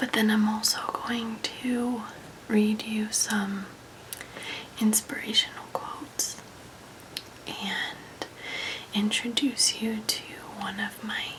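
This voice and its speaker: Soft-spoken and calm in tone, a woman with a fairly high pitch talks at a very slow pace in a monotone, flat intonation, with long, frequent pauses and noticeable background noise. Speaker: ASMR creator. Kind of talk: ASMR relaxation talk. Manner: soft-spoken, calm, friendly.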